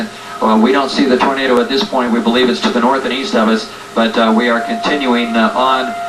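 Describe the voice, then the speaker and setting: A man at medium pitch and a very fast pace, with ordinary pitch variation, very even loudness and music in the background. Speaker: TV weather broadcaster / storm reporter. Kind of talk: live broadcast commentary. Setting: emergency broadcast radio. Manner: halting, filler-heavy.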